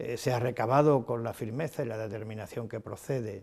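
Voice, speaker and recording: Here is a man with a plain, everyday voice at a medium pitch. His intonation is fairly even and his pace moderate. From Ceuta, Spain. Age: 60s. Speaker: city president, politician. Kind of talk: interview. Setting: office. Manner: formal.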